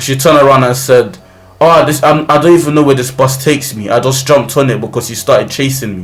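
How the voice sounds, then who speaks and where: Speaking very fast in a London accent, a man with a medium pitch and ordinary pitch variation is heard with audible room echo and noticeable background noise. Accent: London multicultural English. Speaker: YouTuber. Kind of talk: storytelling. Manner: loud.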